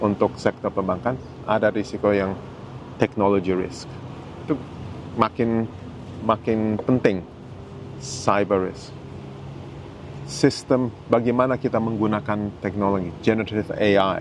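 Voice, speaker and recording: With noticeable noise behind him, a man speaks fairly slowly in a fairly low pitch, with a slight non-native accent, ordinary pitch variation and long, frequent pauses. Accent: slightly foreign-sounding Indonesian. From Germany, then Indonesia. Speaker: senior banking executive. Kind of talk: interview. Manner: halting with fillers.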